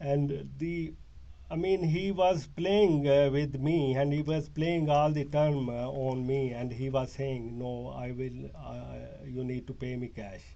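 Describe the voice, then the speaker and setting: Very slowly and at a medium pitch, a man speaks with ordinary pitch variation amid audible room echo. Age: 60s. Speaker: detainee in police interview. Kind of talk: police interview statement. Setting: police interview room. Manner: halting, many fillers.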